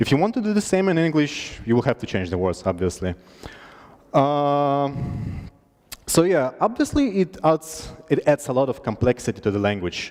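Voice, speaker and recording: Speaking in a Russian accent at a moderate pace, a man has a fairly high pitch. His voice swings very widely in pitch. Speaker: conference speaker. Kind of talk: tech talk. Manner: halting.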